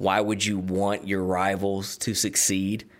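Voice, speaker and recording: With a Southern US accent, a man speaks at a fairly low pitch. His pace is fairly slow and his intonation monotone and flat. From US South (Georgia, Tennessee). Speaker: sports podcast host, former sports radio host. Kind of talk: solo podcast monologue. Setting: studio.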